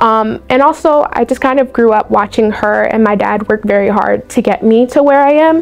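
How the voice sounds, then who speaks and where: A woman with an American accent at a moderate pace, fairly high in pitch with ordinary pitch variation, very even loudness and hardly any pauses, music in the background. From Baltimore, Maryland, US. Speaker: university student. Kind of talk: interview testimonial. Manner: casual, filler-heavy.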